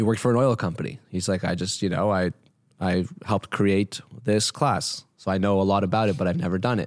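In a very clean recording with a silent background, a man with a Canadian accent and an ordinary speaking voice talks at a fairly quick pace, his fairly low pitch showing ordinary pitch variation and very even loudness. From Toronto, Canada. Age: 20s. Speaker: entrepreneur. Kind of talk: interview.

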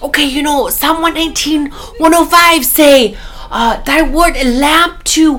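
Over light background noise, a woman puts on a character voice at an extremely high pitch, with a non-native accent as part of the act. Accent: foreign accent, imitated.

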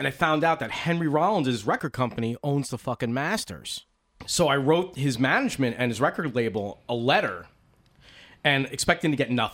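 A man with an American accent uses a plain, everyday voice, fairly high in pitch, at a fairly quick pace. His intonation is lively, and the recording is very clean with a silent background. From US East Coast. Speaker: motorcycle podcast host. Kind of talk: casual chat. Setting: home recording.

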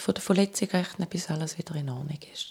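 With ordinary pitch variation, a woman talks in a somewhat breathy voice whose tone is dark and mellow. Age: 40s. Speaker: cancer survivor. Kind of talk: testimony.

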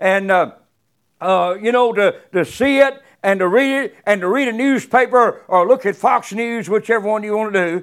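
The very clean recording, with a silent background, captures a man's high pitch and ordinary pitch variation. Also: moderate pace. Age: 70s. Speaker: guest preacher. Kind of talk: sermon. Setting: church. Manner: halting.

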